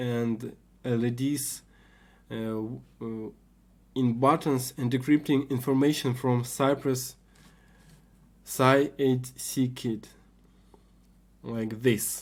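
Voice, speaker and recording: Speaking with a non-native accent at a very slow pace, a man at medium pitch uses monotone, flat intonation with long, frequent pauses on a very clean recording with a silent background. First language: not English. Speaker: hobbyist maker, video creator. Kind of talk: tutorial. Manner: halting, many fillers.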